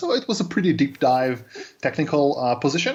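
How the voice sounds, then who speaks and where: A Serbian accent at a fairly quick pace. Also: man. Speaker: cloud developer advocate. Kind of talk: interview. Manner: hesitant, many fillers.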